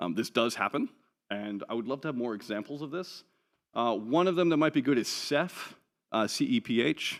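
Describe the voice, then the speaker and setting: A man talks at medium pitch with lively intonation. The recording is very clean, with a silent background. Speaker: open source sustainability advocate. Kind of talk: conference talk. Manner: fast.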